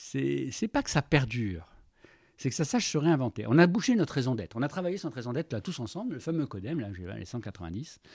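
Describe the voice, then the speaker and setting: A man's medium-pitched voice with vocal fry, very wide pitch swings, big swings in loudness, and a fairly quick pace. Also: very clean recording, silent background. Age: 60s. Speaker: business leader. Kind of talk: interview. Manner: halting, repeats words.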